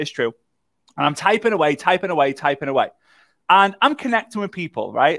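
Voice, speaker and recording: Over a quiet background, a man speaks at a fairly quick pace with very wide pitch swings and a bright, sharp tone. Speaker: workshop host. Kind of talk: livestream workshop talk, personal story. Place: studio.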